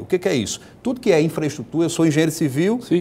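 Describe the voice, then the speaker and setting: Lively intonation runs through this man's unremarkable speaking voice, which sits at a fairly high pitch. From Rio Grande do Norte, Brazil (rural, Mossoró area); Rio Grande do Norte, Brazil. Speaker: state politician; guest. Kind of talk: TV interview. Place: studio. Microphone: lapel.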